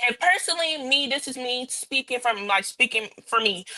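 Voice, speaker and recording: A woman with a high pitch uses a raised, projected voice and lively intonation. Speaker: podcast panelist. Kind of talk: casual chat. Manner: fast.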